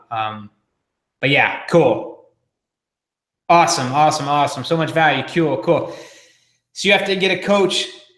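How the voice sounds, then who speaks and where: A man speaks with audible room echo around him. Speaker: marketing coach. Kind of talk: live webinar training. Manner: fast; energetic.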